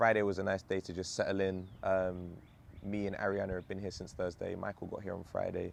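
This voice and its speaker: A man's very deep, low voice with a London accent, at a moderate pace. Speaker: vlogger and startup founder. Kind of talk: casual vlog monologue. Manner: animated.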